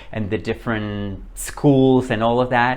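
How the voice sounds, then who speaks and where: A man speaks with a Spanish accent at a medium pitch. His pace is fairly slow. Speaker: book reviewer. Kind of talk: casual chat. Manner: animated.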